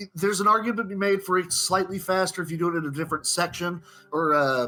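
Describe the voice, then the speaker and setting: Music plays in the background as a man speaks at a fairly quick pace. His pitch is high, with ordinary variation. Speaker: live game commentator. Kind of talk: live commentary. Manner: halting, many fillers and repetitions.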